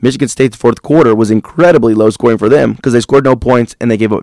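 Heard with a dry, close sound and no echo, a man talks at a very fast pace with a medium pitch and fairly even intonation. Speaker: radio host. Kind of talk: casual chat. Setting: studio.

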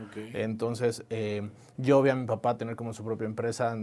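With a medium pitch and a dark, mellow tone, the man keeps his intonation fairly even. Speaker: entrepreneur, startup founder. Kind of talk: interview conversation.

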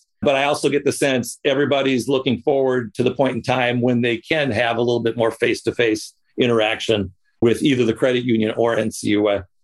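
A man talks at a moderate pace in a normal speaking voice, medium in pitch. His intonation is fairly even and his loudness very even. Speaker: podcast host and credit union consultant. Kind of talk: interview.

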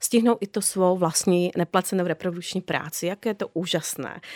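A woman talks at a moderate pace with a normal speaking voice and ordinary pitch variation. The recording is very clean, with a silent background and a dry, close sound with no echo. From Slovakia. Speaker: social anthropologist. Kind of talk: interview.

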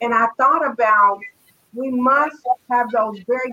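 A woman's high-pitched, bright, sharp voice at a fairly slow pace. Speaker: panelist on talk show. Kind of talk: casual panel discussion.

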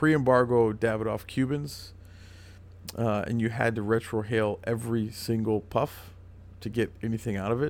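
In a very clean recording with a silent background, a man with an ordinary speaking voice talks at medium pitch with fairly even intonation. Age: 30s. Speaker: cigar company sales rep. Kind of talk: casual chat. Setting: cigar shop.

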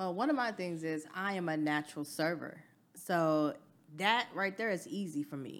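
An ordinary speaking voice from a woman, fairly low in pitch with lively intonation at a moderate pace, on a very clean recording with a silent background. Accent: American. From US South. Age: 40s. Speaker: business owner. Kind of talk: casual chat.

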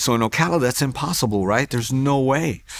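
With ordinary pitch variation, a man keeps up a fairly quick pace. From US Northeast, Hoboken, New Jersey. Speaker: pastor. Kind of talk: testimony. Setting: church.

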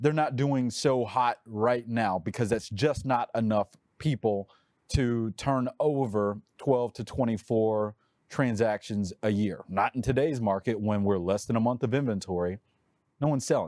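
With a Texas accent and ordinary pitch variation, the speaker goes at a moderate pace in a dry, close sound with no echo, on a very clean recording with a silent background. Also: man, medium pitch for a man. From Texas, Dallas-Fort Worth. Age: 40s. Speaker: realtor and YouTuber. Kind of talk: podcast interview.

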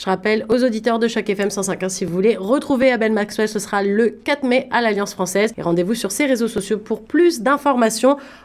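Using an unremarkable speaking voice, a woman talks at a fairly high pitch and moderate pace with ordinary pitch variation and hardly any pauses. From Paris, France. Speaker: community radio host. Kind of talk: interview. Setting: radio studio.

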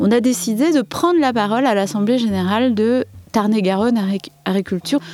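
An unremarkable speaking voice, a woman's at a fairly high pitch and a fairly quick pace. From Saint-Denis, Paris region. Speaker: artist, village resident. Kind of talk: interview.

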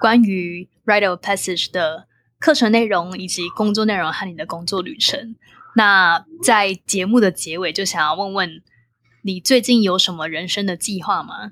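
Speaking with a Taiwanese accent, a woman talks at a fairly slow pace at medium pitch with ordinary pitch variation in a very clean recording with a silent background. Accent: Taiwanese Mandarin. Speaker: podcast host. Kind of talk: interview. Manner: animated.

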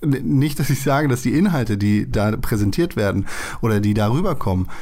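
A man speaks with music playing in the background. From Germany. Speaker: podcast host. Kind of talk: casual chat.

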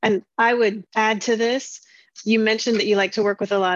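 A woman speaks at a moderate pace in a normal speaking voice, medium in pitch with fairly even intonation. The sound is dry and close with no echo, over a quiet background. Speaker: podcast co-host. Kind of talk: interview.

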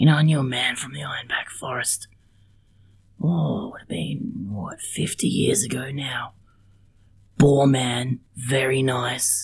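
A man's put-on character voice, raspy and wheezy, at a medium pitch and fairly slow pace, with long, frequent pauses and big swings in loudness. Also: ordinary pitch variation. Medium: actual play. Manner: blunt, brusque.

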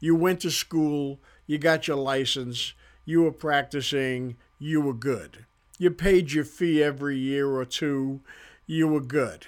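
A man speaks at a fairly slow pace with fairly even intonation. The recording is very clean, with a silent background. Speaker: chiropractor and podcast host. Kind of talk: casual monologue. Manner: loud and boisterous.

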